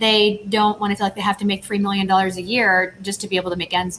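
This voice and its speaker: This woman has a medium-pitched voice and speaks with an American accent. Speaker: tech company CEO. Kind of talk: panel interview. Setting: video call from empty office.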